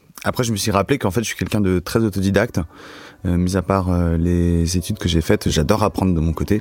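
A man's very deep, low voice with ordinary pitch variation at a very fast pace. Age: 20s. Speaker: student. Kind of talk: casual chat. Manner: halting.

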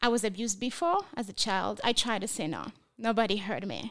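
On a very clean recording with a silent background, a woman with a French accent speaks with ordinary pitch variation. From France. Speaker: trafficking survivor and nonprofit founder. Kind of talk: testimony.

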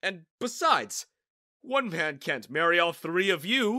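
This put-on character voice has a bright, sharp tone and big pitch swings. It moves at a slow pace.

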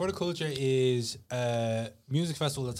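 On a very clean recording with a silent background, a man at medium pitch speaks with a Dublin accent. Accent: Dublin Irish. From Ireland, Tallaght (Dublin). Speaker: CEO of a music and culture brand. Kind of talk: casual chat.

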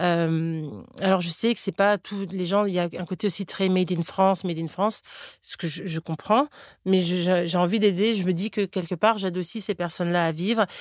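A woman speaks at a medium pitch and a moderate pace with ordinary pitch variation. The recording is very clean with a silent background, and the sound is dry and close with no echo. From Florida, US. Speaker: cookbook author and entrepreneur. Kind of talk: interview. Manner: halting, with frequent repetitions and fillers.

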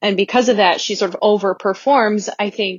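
At a fairly quick pace, a woman speaks at medium pitch. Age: 20s. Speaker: listener leaving voicemail. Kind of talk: voicemail message. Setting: phone voicemail. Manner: hesitant, many fillers.

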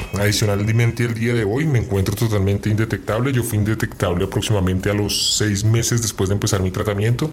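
Noticeable background noise sits behind a man talking at a fairly quick pace. His intonation stays fairly even. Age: 30s. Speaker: person living with HIV. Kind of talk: interview testimony. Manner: halting.

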